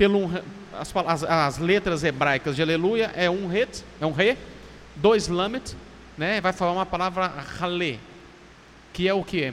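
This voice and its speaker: A man's high-pitched voice at a moderate pace, with noticeable background noise. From Minas Gerais, Brazil. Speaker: pastor. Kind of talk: casual chat.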